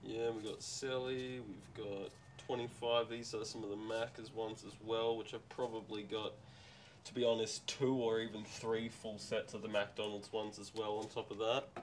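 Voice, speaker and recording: Over light background noise, a man with an Australian accent speaks at a medium pitch and moderate pace, his intonation monotone and flat. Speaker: seller at garage sale. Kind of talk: casual chat. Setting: outdoors. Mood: relaxed, chatty. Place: garage. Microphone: phone near.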